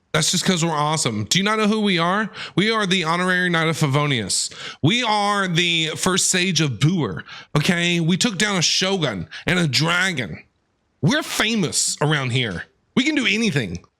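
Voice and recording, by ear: At a moderate pace, a man speaks with a high pitch, big pitch swings and a bright, sharp tone.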